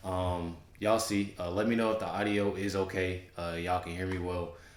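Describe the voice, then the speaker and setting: The man's voice is very deep and low. Audible room echo surrounds it. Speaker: YouTube reaction commentator. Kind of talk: casual chat. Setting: home studio. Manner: halting, many fillers.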